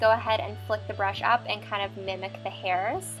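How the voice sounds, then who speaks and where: Background music accompanies a woman talking at a moderate pace. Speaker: beauty vlogger. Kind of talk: makeup tutorial narration.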